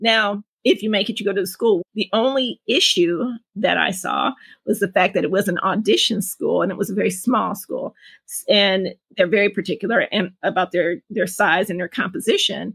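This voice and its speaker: A woman with an American accent and a normal speaking voice, medium in pitch with ordinary variation, at a moderate pace, in a dry, close sound with no echo. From Detroit, Michigan, US Midwest. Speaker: parent, writer. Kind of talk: interview.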